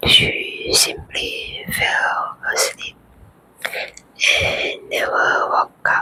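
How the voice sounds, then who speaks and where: The pace is very slow. Long pauses break up the whispering often. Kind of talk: ASMR bedtime story. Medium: read story. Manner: slow, calm, soothing.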